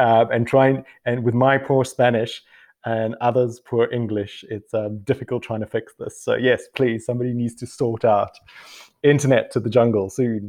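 A man talks at a medium pitch and moderate pace. His intonation is monotone and flat. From South Africa. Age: 40s. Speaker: biotech co-founder and scientist. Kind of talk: interview.

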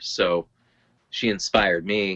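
A man with an American accent speaks in a bright, sharp tone with fairly even intonation. The sound is dry and close with no echo, against a quiet background. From Lowell, Massachusetts. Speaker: healthcare enrollment administrator and hiker. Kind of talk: casual chat.

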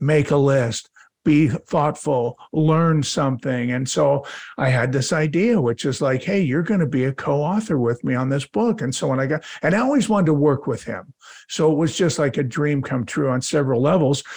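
A man speaks in a plain, everyday voice at a fairly high pitch and a moderate pace. His pitch variation is ordinary, and the background is quiet. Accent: American. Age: 60s. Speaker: family business coach and advisor. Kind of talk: interview conversation.

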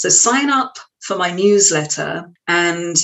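The speaker is a woman with an English accent. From West London, England. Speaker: trance medium and yoga teacher. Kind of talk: interview conversation. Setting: studio.

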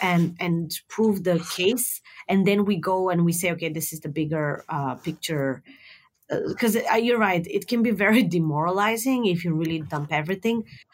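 Lively intonation marks this woman's speech. Her pitch is medium and her pace moderate. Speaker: customer experience consultant, company founder. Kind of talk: casual interview conversation. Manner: hesitant, many fillers.

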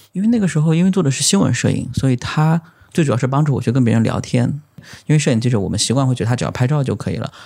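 Very clean against a silent background, a man talks very fast with a somewhat breathy, dark, mellow tone, medium pitch and lively intonation. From China, Zhejiang (Lishui). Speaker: photographer. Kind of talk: casual interview chat.

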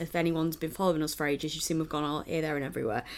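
A woman with a Mancunian accent on a very clean recording with a silent background. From Manchester, England. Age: 30s. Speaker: wrestling podcast co-host. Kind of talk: casual chat.

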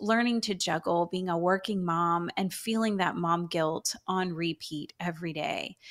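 On a very clean recording with a silent background, a woman with an American accent uses a normal speaking voice at a fairly low pitch, a fairly slow pace, and ordinary pitch variation. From Texas, Houston. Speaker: Bible teacher and author. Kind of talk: radio interview.

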